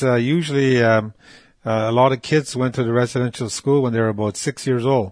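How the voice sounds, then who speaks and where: A man speaks at a fairly quick pace with a medium pitch. The background is quiet. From northern Quebec and Ontario, James Bay Cree. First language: Cree. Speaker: residential school survivor. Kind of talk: personal testimony. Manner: halting, with frequent fillers and repetitions.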